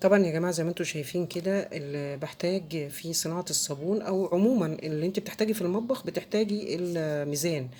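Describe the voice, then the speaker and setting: A woman with an Egyptian accent speaks at a fairly quick pace in a fairly low pitch, with a dark, mellow tone and ordinary pitch variation. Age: middle-aged. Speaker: soap-making tutorial creator. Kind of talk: tutorial. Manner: halting, many fillers.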